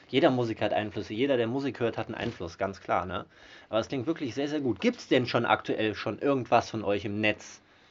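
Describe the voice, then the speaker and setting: At a fairly quick pace, a man talks in a medium pitch with ordinary pitch variation, an unremarkable speaking voice. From Germany, Mönchengladbach. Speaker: podcast host. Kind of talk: casual interview. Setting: band rehearsal room.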